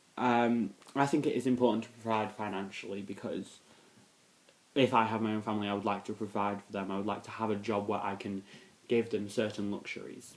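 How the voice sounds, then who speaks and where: At a fairly quick pace, a man with a fairly low pitch talks in a monotone, flat intonation. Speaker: vlogger. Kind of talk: casual Q&A vlog. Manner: hesitant, many fillers.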